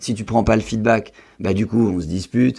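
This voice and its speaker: A man with a dark, mellow tone and vocal fry speaks at a moderate pace, his fairly low pitch showing ordinary variation. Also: very clean recording, silent background. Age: 20s. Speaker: real estate investor and medical student. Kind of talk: podcast interview.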